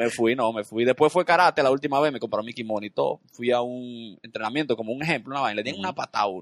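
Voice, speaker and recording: A man's medium-pitched voice at a very fast pace, in a dry, close sound with no echo. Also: ordinary pitch variation, hardly any pauses. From Dominican Republic, Santo Domingo. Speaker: comedian and TV host. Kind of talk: casual chat. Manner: animated.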